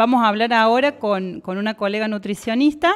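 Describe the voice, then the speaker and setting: In an ordinary speaking voice, a woman talks at a fairly slow pace with fairly high pitch and ordinary pitch variation. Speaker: nutritionist, radio columnist. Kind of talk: educational radio segment. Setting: radio studio.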